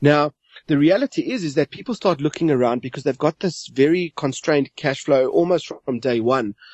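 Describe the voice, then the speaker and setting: Here a man has a plain, everyday voice with ordinary pitch variation. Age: 40s. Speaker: money coach. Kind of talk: podcast interview.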